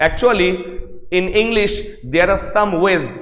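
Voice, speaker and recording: Loud and at a fairly slow pace, a man speaks amid noticeable background noise and audible room echo. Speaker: English lecturer. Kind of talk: lecture. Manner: repetitive, emphatic.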